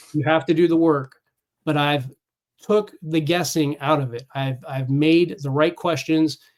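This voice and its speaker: A man with a plain, everyday voice, fairly high in pitch, fairly slow and fairly even in intonation. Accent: American. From California. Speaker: Navy veteran and fitness coach. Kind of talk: casual interview chat.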